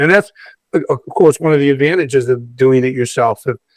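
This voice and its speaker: The sound is dry and close with no echo as a man talks at a medium pitch. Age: 60s. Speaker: community leader and DIY home renovator. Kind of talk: casual chat. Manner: halting, many repeated words.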